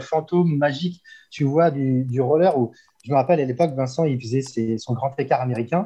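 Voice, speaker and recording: A man talks at a medium pitch and a fairly quick pace, with ordinary pitch variation. His tone is dark and mellow and somewhat breathy. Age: 40s. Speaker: inline skater, photographer and fitness coach. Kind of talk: casual interview.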